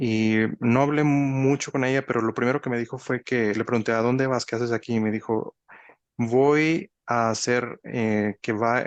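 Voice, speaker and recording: A man's medium-pitched voice at a fairly slow pace, fairly even in intonation, against a quiet background. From Mexico. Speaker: spiritual teacher. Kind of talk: monologue talk. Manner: halting, many fillers and restarts.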